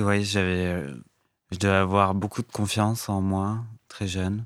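On a very clean recording with a silent background, a man speaks very slowly in a fairly low pitch with monotone, flat intonation. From France, Lot (southwest). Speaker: fashion stylist. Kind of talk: interview. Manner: halting, many hesitations.

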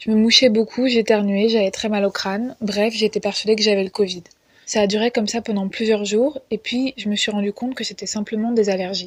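An unremarkable speaking voice from a woman, fairly high in pitch, fairly quick in pace and fairly even in intonation. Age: 20s. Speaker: podcast contributor. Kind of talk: personal testimony.

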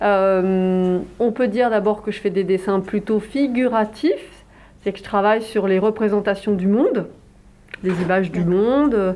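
Her voice has a dark, mellow tone at a medium pitch, with fairly even intonation. The woman speaks fairly slowly, keeping her loudness very even. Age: 50s. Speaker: visual artist and illustrator. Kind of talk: interview. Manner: hesitant, many filler sounds.

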